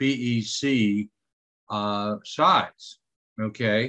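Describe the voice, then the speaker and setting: A man with fairly even intonation in a dry, close sound with no echo. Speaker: organization officer. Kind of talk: video conference meeting. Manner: hesitant with fillers.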